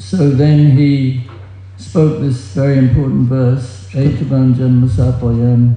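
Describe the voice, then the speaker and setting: Over noticeable background noise, a man speaks at a medium pitch and a very slow pace, his loudness very even throughout. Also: ordinary pitch variation. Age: 70s. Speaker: book distributor. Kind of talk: religious talk. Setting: stage with audience.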